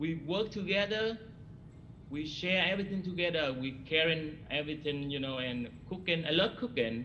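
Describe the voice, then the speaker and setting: A man with a bright, sharp tone and fairly high pitch speaks at a moderate pace with lively intonation, with audible room echo. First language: not English. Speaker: hospital cook, award recipient. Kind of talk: ceremony remarks. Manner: halting.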